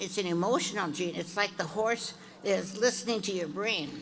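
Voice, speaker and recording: Amid audible room echo, a woman speaks with ordinary pitch variation. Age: 80s+. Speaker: horse breeder, award honoree. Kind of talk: acceptance speech. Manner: halting, many fillers.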